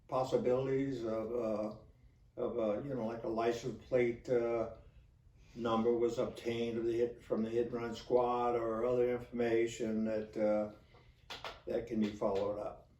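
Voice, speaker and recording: A man's medium-pitched, monotone voice at a fairly slow pace, with flat intonation and audible room echo. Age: 80s+. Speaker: retired police officer. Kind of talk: storytelling monologue. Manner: halting, many fillers.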